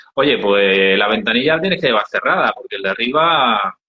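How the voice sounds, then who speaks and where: An Andalusian accent with very wide pitch swings at a fairly quick pace. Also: man. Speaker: NGO founder. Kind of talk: interview storytelling. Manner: hesitant, many fillers.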